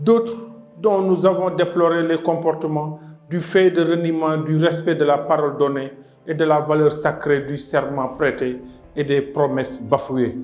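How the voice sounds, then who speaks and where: With music in the background, a man at a fairly high pitch talks at a fairly slow pace, using ordinary pitch variation. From Senegal. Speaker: president of an ecologist political party. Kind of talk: political address to the nation.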